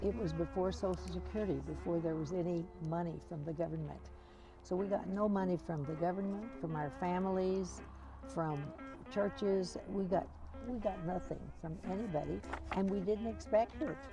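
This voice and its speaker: A woman keeps a moderate pace, with music in the background. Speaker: author and educator. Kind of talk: interview answer.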